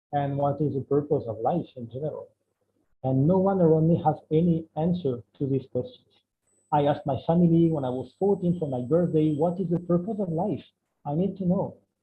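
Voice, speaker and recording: The pitch is fairly high and varies in an ordinary way. A man talks at a fairly quick clip. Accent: French. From France. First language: French. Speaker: spiritual speaker. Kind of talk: online talk. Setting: video call. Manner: halting.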